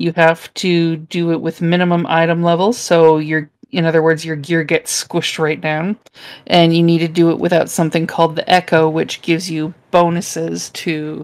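In a fairly low voice, a woman speaks fairly slowly with a monotone, flat intonation. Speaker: former game guide creator. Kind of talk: casual chat. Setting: video call.

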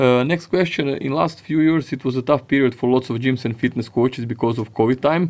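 A man speaks with a Croatian accent. His pace is fairly quick. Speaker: podcast host and fitness coach. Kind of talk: interview. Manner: halting.

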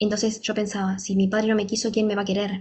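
A woman talks in a somewhat breathy monotone with flat intonation. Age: 30s. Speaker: fitness trainer and wellness coach. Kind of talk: motivational monologue.

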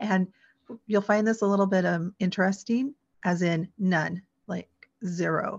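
A woman with an American accent speaks at a fairly slow pace in a somewhat breathy voice, her intonation fairly even against a quiet background. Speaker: adoptee, blogger and podcaster. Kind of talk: interview.

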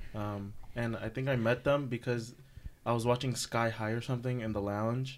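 Playful in tone yet flat and monotone in intonation, a man with an American accent talks at a medium pitch. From California. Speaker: college student. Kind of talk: casual chat. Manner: joking, playful.

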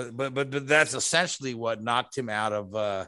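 Against a quiet background, a man with a medium pitch and a bright, sharp tone talks at a moderate pace with ordinary pitch variation. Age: 50s. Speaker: motorsport podcast host. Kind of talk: casual chat.

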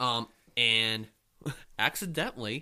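A man's bright, sharp tone with lively intonation. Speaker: podcast co-host. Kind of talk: casual chat.

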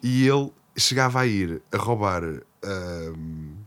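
The recording is very clean, with a silent background. A man with a Lisbon accent speaks with lively intonation. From Portugal, Lisbon. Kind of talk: casual chat.

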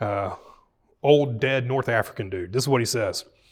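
A man with a Southern US accent and a medium pitch, in a very clean recording with a silent background. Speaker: pastor. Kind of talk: Bible study teaching with prayers. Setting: church room with live audience.

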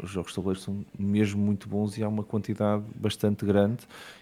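A man's ordinary speaking voice, fairly low in pitch. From Portugal, Matosinhos (Porto area). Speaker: board game business founder. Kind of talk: casual chat.

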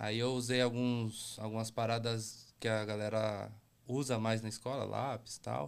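In a São Paulo accent, a man speaks at medium pitch and a fairly slow pace. His intonation is monotone and flat. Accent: Paulistano Brazilian Portuguese. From São Paulo, Brazil (Brasilândia). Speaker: graffiti artist. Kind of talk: casual chat.

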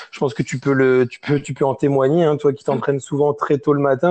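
A man talks at a moderate pace, his voice pitched in the middle range. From France, small village (region named in line 26). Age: 20s. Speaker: CrossFit coach. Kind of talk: interview. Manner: halting, many repetitions and fillers.

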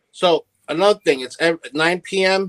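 Here a man talks with an American accent. The sound is dry and close, with no echo. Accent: New York Italian American. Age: 30s. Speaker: social media content creator. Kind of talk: casual chat.

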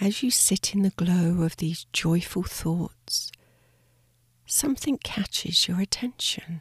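Very slowly and with lively intonation, a woman speaks at a medium pitch in a soothing, calm, somewhat breathy tone, her loudness very even and the sound dry and close with no echo. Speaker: meditation guide. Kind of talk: guided sleep meditation. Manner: slow, soft-spoken and soothing; calm, gentle, with long pauses.

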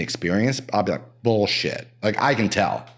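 A man with a plain, everyday voice and a fairly low pitch speaks at a moderate pace in a very clean recording with a silent background. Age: 50s. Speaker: real estate broker. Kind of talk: casual chat. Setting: home basement studio.

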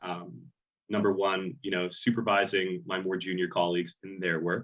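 The delivery moves at a moderate pace. Intonation stays fairly even throughout. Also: man. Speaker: auditor. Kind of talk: interview. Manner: hesitant, many fillers.

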